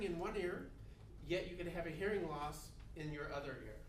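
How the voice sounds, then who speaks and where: Loud and at a moderate pace, a man speaks over noticeable background noise with audible room echo. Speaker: college instructor. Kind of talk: lecture. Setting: classroom. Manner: fairly loud teacher voice.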